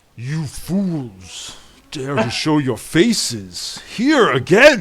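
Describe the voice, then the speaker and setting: Putting on a character voice, the man speaks very slowly at a fairly high pitch with very wide pitch swings. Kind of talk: archaic, commanding. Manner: stern, snarling, menacing.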